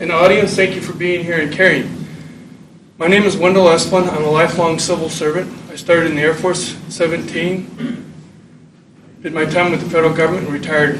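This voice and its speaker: Amid noticeable background noise and audible room echo, a man with a high voice speaks fairly quickly in a monotone, flat way. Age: 60s. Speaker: retired civil servant. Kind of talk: public comment. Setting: county commission meeting.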